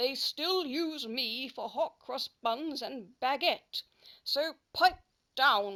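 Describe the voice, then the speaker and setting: A woman puts on a gruff character voice, high-pitched with lively intonation, at a very slow pace. The recording is very clean with a silent background. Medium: read story.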